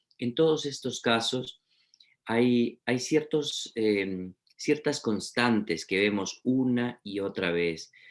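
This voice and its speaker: The speech moves at a very slow pace with ordinary pitch variation, on a very clean recording with a silent background. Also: man, medium pitch for a man. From Peru. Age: 40s. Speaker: literature professor. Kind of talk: lecture. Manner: halting, many fillers.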